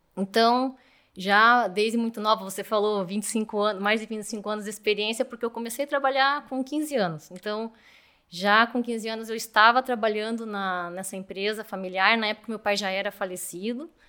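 A bright, sharp voice moves at a moderate pace with fairly even intonation. The recording is very clean, with a silent background. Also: woman, fairly high pitch for a woman. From Brazil, Curitiba. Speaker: mechanical engineer and manager. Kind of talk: interview.

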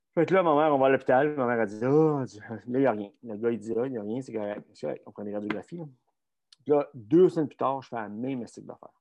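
Speaking very fast in a Quebec accent, a man breaks his speech with long, frequent pauses. His loudness swings widely. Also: medium pitch for a man, ordinary pitch variation. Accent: Québécois French. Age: 50s. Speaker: strength coach and former Olympic luger. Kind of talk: casual interview. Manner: halting, repeats words.

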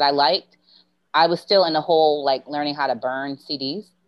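A woman with an American accent speaks at a very deep, low pitch with ordinary pitch variation. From Baltimore, US. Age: 40s. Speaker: podcast guest, former music TV employee. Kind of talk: casual chat.

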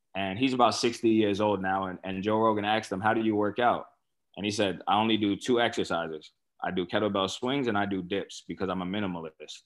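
A very fast, fairly low-pitched man with a New York accent. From Staten Island, New York. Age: 30s. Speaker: former pro football player. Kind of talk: casual chat. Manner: hesitant fillers.

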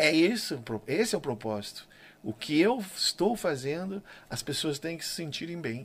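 Moderate pace, very wide pitch swings, big jumps in loudness and vocal fry. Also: man, fairly high pitch for a man. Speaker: gaucho music singer. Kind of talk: casual interview chat.

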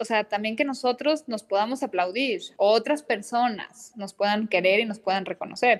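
Using an unremarkable speaking voice, a woman talks at a fairly high pitch and a moderate pace, with ordinary pitch variation and hardly any pauses. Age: 30s. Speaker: psychoanalyst. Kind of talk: interview conversation.

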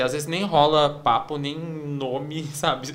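A man's fairly high voice with fairly even intonation, over noticeable background noise. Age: 30s. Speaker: advertising professional. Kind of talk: casual chat.

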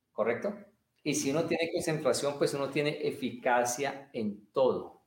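A man speaks at a fairly slow pace with a fairly high pitch and ordinary pitch variation. Audible room echo surrounds his voice. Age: 50s. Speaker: martial arts and meditation teacher. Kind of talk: interview. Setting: livestream video call.

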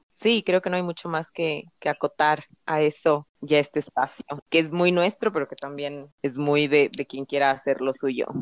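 The recording has a dry, close sound with no echo, carrying a woman's very deep, low-pitched voice. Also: ordinary pitch variation, moderate pace. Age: 30s. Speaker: podcast co-host. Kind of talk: casual chat.

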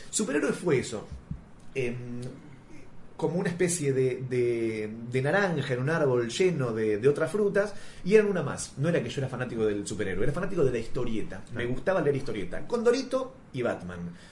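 A man with a Rioplatense accent speaks at a medium pitch with very wide pitch swings. Noticeable background noise and audible room echo fill the recording. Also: fairly quick pace. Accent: Argentine Rioplatense Spanish. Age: 30s. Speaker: comics scriptwriter. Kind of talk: interview.

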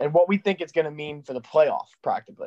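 Dry and close with no echo, the voice moves at a fairly quick pace with lively intonation. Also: man. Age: 20s. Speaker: sports betting podcast host. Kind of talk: casual chat.

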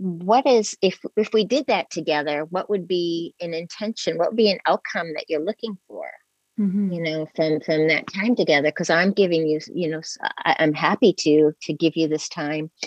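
A woman with a plain, everyday voice speaks at a fairly low pitch and a moderate pace with ordinary pitch variation, the sound dry and close with no echo. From New England, US. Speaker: spiritual counselor and Reiki practitioner. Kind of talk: interview conversation.

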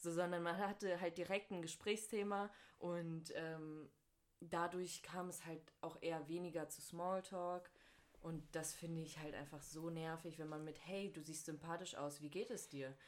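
A woman speaks in a plain, everyday voice at a fairly low pitch. Her pace is fairly slow and her intonation fairly even. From North Rhine-Westphalia, Germany. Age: 20s. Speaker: university student. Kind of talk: casual chat.

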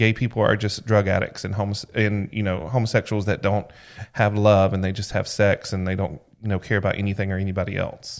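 On a very clean recording with a silent background, a man with a Southern US accent speaks fairly quickly in a fairly low pitch with monotone, flat intonation. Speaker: podcast co-host. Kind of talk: casual chat.

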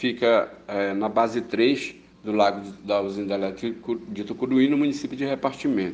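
Here a man speaks in a plain, everyday voice. He keeps a medium pitch and a moderate pace. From Pará, Brazil (Baião). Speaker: fishermen's leader and activist. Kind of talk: testimony.

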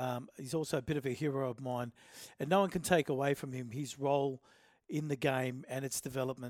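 Talking at a fairly quick pace with an Australian accent, a man is heard in a very clean recording with a silent background and a dry, close sound with no echo. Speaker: rugby league podcast host. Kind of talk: casual sports chat. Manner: loud, shouty.

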